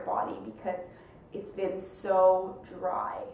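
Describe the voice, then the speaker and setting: A woman talks in a space with audible room echo and noticeable background noise. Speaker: vlogger. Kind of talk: casual vlog update.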